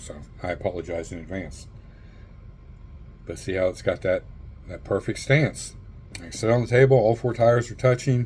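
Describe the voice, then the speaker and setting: A somewhat breathy man, with long, frequent pauses and big swings in loudness. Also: medium pitch for a man, ordinary pitch variation. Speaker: model car builder. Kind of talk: tutorial. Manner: fast; casual with many fillers.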